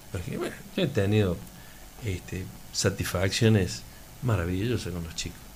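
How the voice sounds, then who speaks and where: A man with a very deep, low voice speaks at a moderate pace, using lively intonation and long, frequent pauses. Room echo is audible. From Laguna Larga, Córdoba, Argentina. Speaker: athletics coach and local resident. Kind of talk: radio interview.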